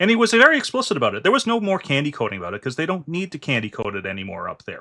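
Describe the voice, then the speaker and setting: A man rattles off his words very fast in a very clean recording where the background is silent. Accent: Canadian. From Canada. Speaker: finance and politics channel host. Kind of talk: political discussion with a guest.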